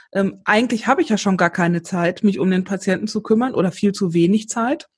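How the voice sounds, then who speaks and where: A woman talks at a medium pitch with ordinary pitch variation. Her voice is somewhat breathy against a quiet background. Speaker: podcast host. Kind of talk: casual interview. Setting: remote recording.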